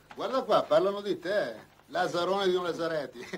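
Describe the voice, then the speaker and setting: Here a man speaks at a fairly quick pace. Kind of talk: acted film dialogue. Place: home room.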